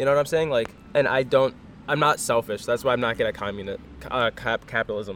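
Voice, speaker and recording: Very fast and medium-pitched, a man talks with ordinary pitch variation. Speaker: runner and podcast co-host. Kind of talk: casual chat.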